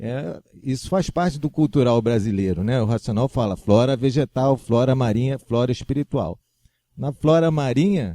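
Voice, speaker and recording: A dark, mellow tone with lively intonation at a fairly slow pace, dry and close with no echo. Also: man. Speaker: spiritual channel presenter. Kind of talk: religious teaching talk.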